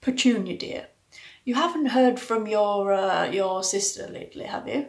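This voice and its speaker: A woman's put-on character voice, fairly high and mumbling, at a moderate pace, with ordinary pitch variation and big swings in loudness. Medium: read story. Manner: hesitant, mumbling.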